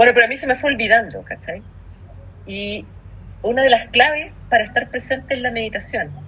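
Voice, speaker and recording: Talking at a fairly quick pace with a Chilean accent, a woman uses a high pitch, ordinary pitch variation, big swings in loudness and long, frequent pauses. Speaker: podcast co-host. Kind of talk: casual chat.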